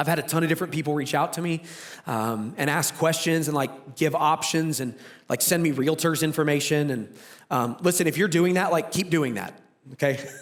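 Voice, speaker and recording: Ordinary pitch variation at a very fast pace. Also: man. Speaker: pastor. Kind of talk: sermon.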